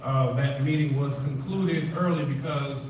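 The intonation is flat and monotone, with light background noise and audible room echo. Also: man. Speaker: village trustee chairing the meeting. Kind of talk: formal public board meeting. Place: hall. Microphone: pa.

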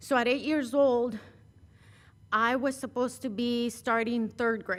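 This woman has a high pitch and a Spanish accent. Her intonation is monotone and flat, and her pace is fairly slow. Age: 40s. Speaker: city councilmember. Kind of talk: personal speech at award ceremony. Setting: council chamber.

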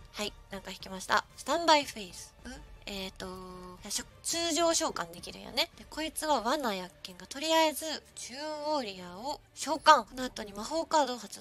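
With a Kyushu accent, a woman speaks at a high pitch with very wide pitch swings and big swings in loudness, the sound dry with no echo and faint music in the background. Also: moderate pace. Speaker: virtual streamer. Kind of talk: casual live-stream gameplay commentary. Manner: upbeat, excitable.

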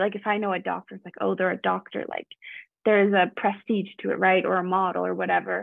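A woman talks at a fairly quick pace. The sound is dry with no echo, over a quiet background. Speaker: event participant; online event host or interviewer. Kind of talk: casual discussion. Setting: video call. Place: home room. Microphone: earbuds.

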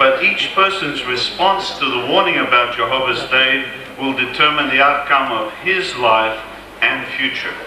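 The voice moves at a moderate pace with ordinary pitch variation, with audible room echo and light background noise. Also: man. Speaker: speaker. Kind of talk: sermon. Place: stage. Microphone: podium.

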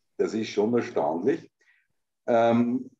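A man speaks very slowly in a dark, mellow tone. The background is quiet. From Austria. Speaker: political commentator and show host; political commentator, show host. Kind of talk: casual political talk show chat. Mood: sardonic, animated. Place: home room. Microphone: video call.

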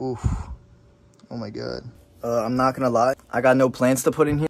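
The pace here is moderate. The speaker is a man. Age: 20s. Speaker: YouTuber; vlogger. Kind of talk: casual vlog narration; casual vlog chat. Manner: animated. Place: garage. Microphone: phone near.

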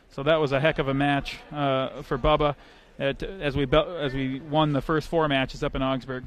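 A fairly high-pitched male voice, dry with no echo, over light background noise. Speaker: sports commentator. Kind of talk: live sports commentary, play-by-play of a wrestling match. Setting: broadcast from college gym with crowd. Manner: rapid, clipped play-by-play calls; energetic, friendly banter.

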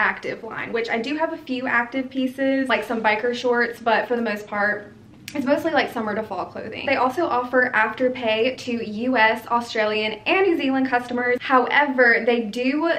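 The speaker runs on with hardly any pauses and ordinary pitch variation. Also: woman, high pitch for a woman, moderate pace. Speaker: fashion vlogger. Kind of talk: casual vlog chat. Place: home room.

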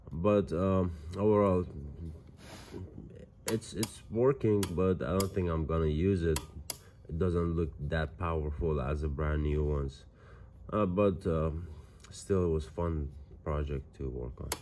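Speaking at a fairly slow pace with long, frequent pauses, a man with a very deep, low pitch and a dark, mellow tone uses ordinary pitch variation over light background noise. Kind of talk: casual vlog chat. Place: home room. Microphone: phone near.

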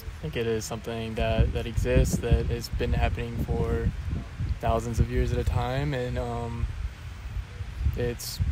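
A man's dry voice, free of echo, comes through noticeable background noise. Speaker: interviewee. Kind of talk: interview answer. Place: open country. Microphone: handheld.

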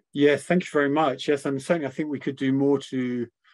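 Medium pitch and monotone, flat intonation from a man. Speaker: medical lecturer acting as interviewer. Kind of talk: interview conversation. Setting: online webinar with audience.

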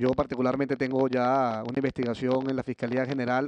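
A man is speaking. The sound is dry, with no echo. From Venezuela. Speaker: opposition politician. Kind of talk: panel speech. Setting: conference stage with audience. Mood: earnest, grave. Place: stage. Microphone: podium.

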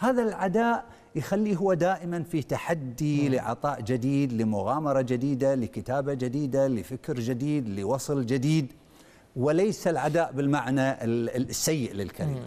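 A man's dark, mellow tone moves at a fairly slow pace with lively intonation. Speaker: novelist and engineer. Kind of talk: casual interview. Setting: studio. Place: studio.

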